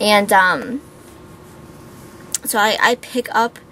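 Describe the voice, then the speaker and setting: Noticeable background noise surrounds a woman talking with an American accent. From Pittsburgh, Pennsylvania. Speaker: beauty vlogger. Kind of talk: casual vlog Q&A. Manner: chatty, with many fillers.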